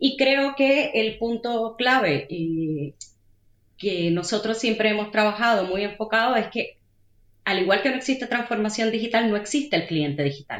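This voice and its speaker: This woman has an ordinary speaking voice, pitched fairly high. She moves at a moderate pace with lively intonation. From Puerto Rico. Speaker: digital analytics manager. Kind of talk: interview.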